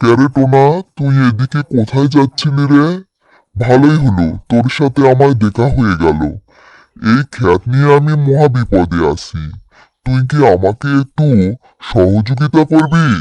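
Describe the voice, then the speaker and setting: A man's cartoonish character voice with lively intonation and a dry, close sound with no echo. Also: medium pitch for a man, fairly slow pace, quiet background. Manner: familiar, condescending.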